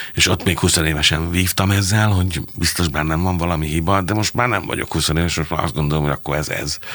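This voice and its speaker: A man talks very fast, with hardly any pauses, in a very deep, low voice and fairly even intonation. Noticeable background noise is present. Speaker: theatre director and playwright. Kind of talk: interview conversation.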